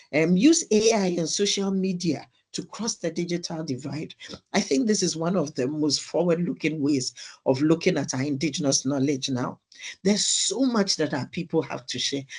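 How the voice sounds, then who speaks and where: A man talks at a moderate pace in a high pitch with ordinary pitch variation. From Ghana. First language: Krobo. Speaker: evaluation expert, webinar panelist. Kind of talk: webinar presentation.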